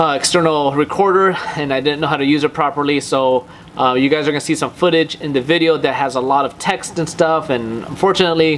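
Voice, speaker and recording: A man talks at a very fast clip with fairly even intonation over light background noise. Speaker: car channel host. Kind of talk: casual vlog chat. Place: home room.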